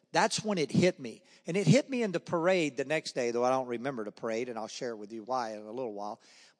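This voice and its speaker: A man with a Southern US accent talks at a very fast pace with very wide pitch swings. The sound is dry and close with no echo, against a quiet background. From US South, Charlotte, North Carolina. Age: 60s. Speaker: former baseball player. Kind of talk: testimony. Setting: church. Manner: fast talker.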